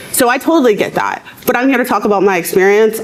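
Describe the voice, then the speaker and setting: Amid noticeable background noise, a woman with an American accent and a fairly high voice talks at a very fast pace. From rural US South. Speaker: abortion rights advocate. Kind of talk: panel debate. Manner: loud.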